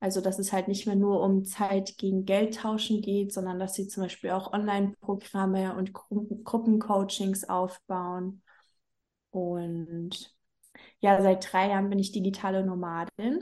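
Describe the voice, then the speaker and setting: A woman's dark, mellow tone at medium pitch, flat and monotone, at a fairly slow pace against a quiet background. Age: 30s. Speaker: business coach. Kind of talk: casual interview.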